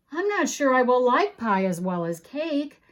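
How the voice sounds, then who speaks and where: A woman's put-on character voice, high in pitch with very wide pitch swings, at a moderate pace. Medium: read story. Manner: dramatic, fretful.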